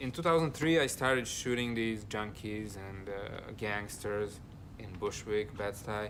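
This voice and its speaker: A man with a Serbian accent speaks fairly slowly at a fairly low pitch, with ordinary pitch variation and big swings in loudness. Audible room echo surrounds his voice. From Serbia, Belgrade. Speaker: street photographer. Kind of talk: documentary interview.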